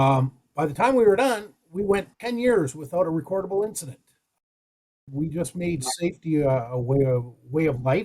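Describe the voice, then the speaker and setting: Speaking at a moderate pace, a man uses a fairly high pitch with very wide pitch swings and a dark, mellow tone. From Alberta, Canada. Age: 60s. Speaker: safety advisor in powerline construction. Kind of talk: podcast interview.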